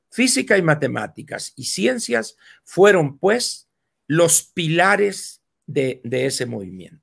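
Speaking at a very slow pace, a man with a fairly high pitch and vocal fry makes very wide pitch swings and big swings in loudness, in a very clean recording with a silent background. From Mexico, Sonora. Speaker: political commentator. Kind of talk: casual chat. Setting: live video stream.

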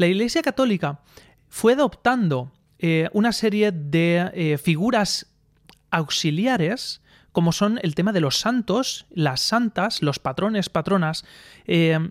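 With a dry, close sound and no echo on a very clean recording with a silent background, a man speaks at a very slow pace in a high pitch with lively intonation and long, frequent pauses. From Spain, Alicante province (Aspe). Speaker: podcaster. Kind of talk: solo opinion monologue. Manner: halting, many fillers.

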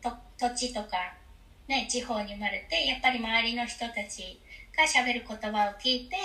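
There is noticeable background noise behind this recording. A woman speaks at a moderate pace with a fairly high pitch and ordinary pitch variation. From Japan, Kumamoto. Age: 30s. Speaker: expat mother. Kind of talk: interview conversation. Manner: halting with many fillers.

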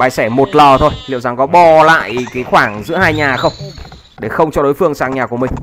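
A man's fairly high-pitched voice, fairly quick and with ordinary pitch variation, over noticeable background noise. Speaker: game commentator. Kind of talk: live commentary. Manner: fast.

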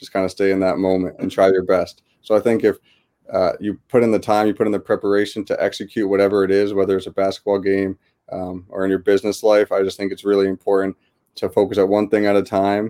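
Over a silent background on a very clean recording, a man speaks very fast in a dark, mellow tone, his fairly low pitch kept monotone and flat. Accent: US Northeastern. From US Northeast, West Hartford, Connecticut. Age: 20s. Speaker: basketball coach and author. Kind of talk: interview.

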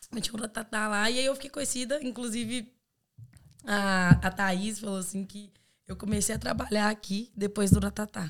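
A woman with a normal speaking voice talks at a moderate pace in a medium pitch, keeping fairly even intonation while her loudness swings widely. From Brazil, Belo Horizonte (Minas Gerais). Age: 20s. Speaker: exchange student. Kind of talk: casual chat.

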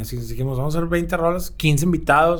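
Audible room echo around a man's fairly quick delivery. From Monterrey, Mexico. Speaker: musician. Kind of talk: casual interview. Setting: record label office.

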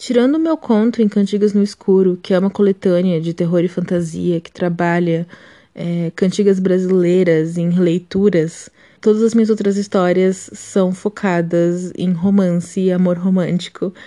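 Against a quiet background, a woman with a dark, mellow tone talks at a moderate pace in a medium pitch with fairly even intonation. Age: 20s. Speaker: writer. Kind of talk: recorded testimony.

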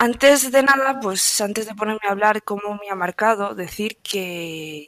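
A woman in an unremarkable speaking voice talks at a medium pitch and moderate pace, with ordinary pitch variation, hardly any pauses and a dry, close sound with no echo. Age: 20s. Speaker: stoicism content creator. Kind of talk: interview.

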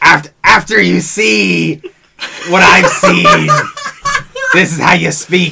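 A put-on character voice speaks at a very slow pace. Long, frequent pauses break it up. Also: man.

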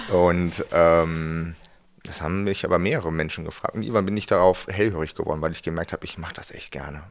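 This man has a very deep, low pitch and fairly even intonation, talking at a very fast pace with big swings in loudness. The recording is very clean, with a silent background. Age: 40s. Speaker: pastor. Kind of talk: casual chat. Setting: studio.

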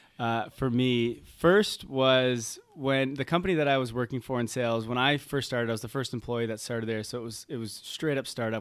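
Talking at a fairly quick pace, a man with a Canadian accent has an unremarkable speaking voice, medium in pitch with fairly even intonation. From Canada, Toronto. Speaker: health coach. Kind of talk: podcast interview. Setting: remote call.

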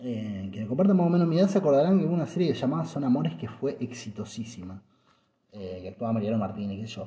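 A man talks at a very fast pace in a Rioplatense accent. His medium pitch swings very widely. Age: 30s. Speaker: podcaster. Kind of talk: casual monologue. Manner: halting.

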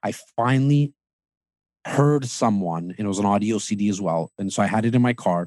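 Recorded very cleanly against a silent background, the voice moves at a moderate pace with ordinary pitch variation and a dry, close sound with no echo. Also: man, fairly low pitch for a man. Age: 30s. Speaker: real estate team leader. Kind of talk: podcast interview. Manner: animated.

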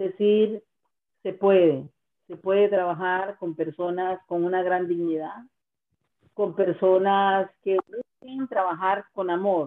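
Very slow, fairly level speech in a mid-range female voice. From Costa Rica, Guanacaste. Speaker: singer-songwriter. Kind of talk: interview.

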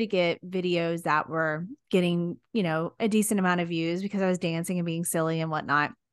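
Over a quiet background, a woman with a Texan accent talks at a fairly quick pace in an animated tone with a fairly low pitch. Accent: Texan American. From Texas. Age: 40s. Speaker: social media content creator. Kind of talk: casual interview chat. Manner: animated, frequent laughter.

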